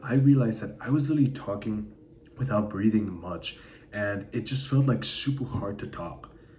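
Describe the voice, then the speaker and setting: A man puts on a strained character voice at medium pitch, moving at a moderate pace while an echo can be heard. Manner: strained, talking without breathing.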